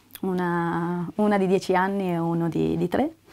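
A woman speaks at a medium pitch. Noticeable background noise runs under her voice. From northern Italy, Parma; northern Italy. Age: 30s. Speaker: actress. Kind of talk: self-presentation. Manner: clear articulation. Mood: warm, smiling, relaxed.

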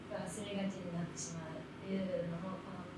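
A woman speaks in a room with audible echo and loud background noise. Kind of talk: interview answer. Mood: cheerful, smiling. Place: empty room.

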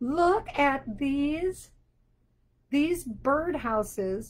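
This voice belongs to a woman. Her accent is American. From Wisconsin (Sheboygan). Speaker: children's book author. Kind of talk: children's show on video call.

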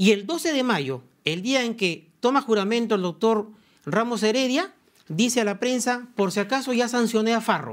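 Lively in intonation, a man talks at a moderate pace in an extremely high voice against a quiet background. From Peru, Lima; Peru. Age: 50s. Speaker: suspended prosecutor; interviewee. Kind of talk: TV interview. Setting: studio. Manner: formal. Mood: defensive, argumentative. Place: studio. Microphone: lapel.

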